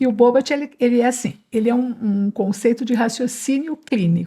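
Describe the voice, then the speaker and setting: A woman's voice is dark and mellow in tone, somewhat breathy, with ordinary pitch variation. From São Paulo state, Brazil (Jundiaí). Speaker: neuropediatric physiotherapist. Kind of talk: podcast interview.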